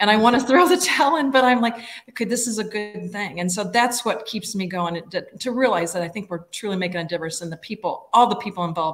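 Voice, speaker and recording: The delivery comes at a very fast pace. Pitch variation is ordinary. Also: woman. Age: 60s. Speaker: nonprofit executive director. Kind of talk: interview.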